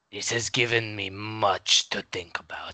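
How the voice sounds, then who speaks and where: A man puts on a raspy character voice at a fairly low pitch. He talks at a moderate pace. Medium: audio drama. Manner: formal, slow, ponderous politeness.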